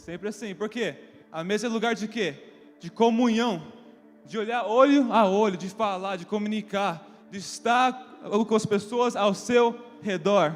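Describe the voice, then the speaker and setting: Pitched high, a man's voice proceeds at a fairly slow pace. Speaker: preacher. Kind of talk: sermon. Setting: church.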